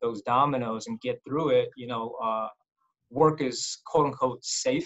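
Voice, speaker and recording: An American accent from a man, set against a quiet background. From US. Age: 40s. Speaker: orthopedic surgeon; interview guest. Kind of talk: interview. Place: office. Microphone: webcam.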